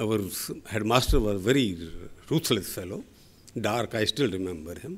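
In an Indian accent, a man speaks with a fairly low pitch, ordinary pitch variation, and long, frequent pauses. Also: moderate pace. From northern India. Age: 60s. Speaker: journalist. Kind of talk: lecture. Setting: stage with audience. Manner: loud; sharp. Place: hall. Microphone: podium.

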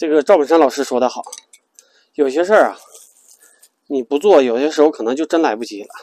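Speaking at a very fast pace with ordinary pitch variation, a man leaves long, frequent pauses in a dry sound with no echo. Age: 40s. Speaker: RV travel vlogger. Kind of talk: casual vlog monologue. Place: car.

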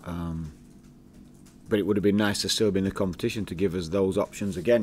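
Light background noise accompanies a man with a fairly low pitch. He talks at a fairly quick pace with fairly even intonation. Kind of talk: press conference answers. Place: meeting room.

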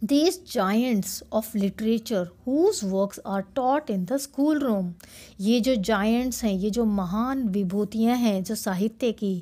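A woman's voice sits fairly high, with a dark, mellow tone and ordinary pitch variation. The recording is very clean, with a silent background. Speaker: teacher. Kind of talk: lecture.

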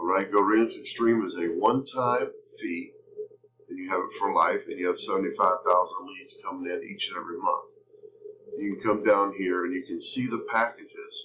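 A man with a low pitch speaks in a bright, sharp tone, holding his intonation fairly even. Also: moderate pace.

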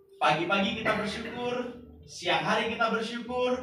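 Against noticeable background noise, a man with a high pitch speaks in a raised, projected voice. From Indonesia, raised in Bali and Jakarta. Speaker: pastor. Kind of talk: sermon. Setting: church. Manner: animated.

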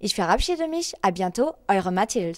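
A French accent in a dry sound with no echo, over a quiet background. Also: woman. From France. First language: French (speaking German). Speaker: presenter of explainer video; presenter. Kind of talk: interview; interview questions and sign-off to camera. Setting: parliament chamber. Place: hall. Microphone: handheld.

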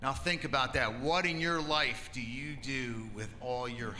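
Light background noise sits behind a man who is speaking. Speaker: lay preacher. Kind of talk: sermon. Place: church. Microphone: handheld.

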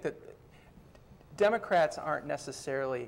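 This is a man with an American accent. His pace is moderate. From Minnesota. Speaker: political magazine editor. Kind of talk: panel discussion.

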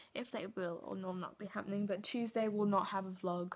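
Monotone and flat, a woman talks at a fairly quick pace. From England. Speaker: lifestyle vlogger. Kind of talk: vlog. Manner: chatty, filler-heavy. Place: home room. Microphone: phone near.

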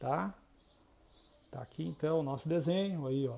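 The man's speech shows ordinary pitch variation. He talks at a moderate pace. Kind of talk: tutorial. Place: home room. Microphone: earbuds.

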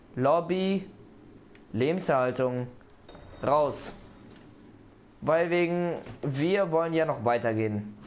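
Amid audible room echo, a man with a fairly high pitch speaks very slowly with lively intonation and long, frequent pauses. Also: very even loudness. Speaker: gaming video creator. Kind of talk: let's play commentary. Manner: quieter speaking; animated.

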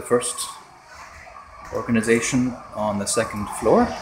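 A quiet man speaks at a fairly slow pace with noticeable background noise. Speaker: co-op member giving a building tour. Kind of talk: casual walking video tour narration. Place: hall. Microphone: phone near.

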